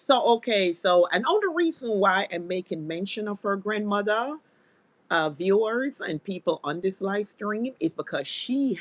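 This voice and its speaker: In a normal speaking voice, a woman talks at a medium pitch and moderate pace with lively intonation, the sound dry and close with no echo. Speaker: live stream commentary host. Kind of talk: live stream commentary. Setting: live stream.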